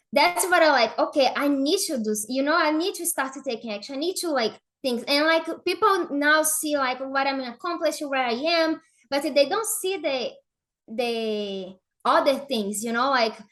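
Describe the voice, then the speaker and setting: Speaking with a Brazilian Portuguese accent, a woman uses a high pitch and lively intonation. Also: moderate pace. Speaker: affiliate marketer. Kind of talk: podcast interview. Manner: halting, many fillers.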